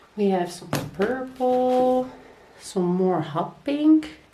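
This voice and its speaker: The voice moves through very wide pitch swings, with audible room echo. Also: woman. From Netherlands. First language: Dutch. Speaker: crochet vlogger. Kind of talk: casual vlog.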